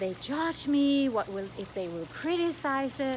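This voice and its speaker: A woman with a Danish accent speaks at a moderate pace with lively intonation. Noticeable noise sits in the background. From Denmark. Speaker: coach / online content creator. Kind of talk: casual vlog monologue. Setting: outdoors.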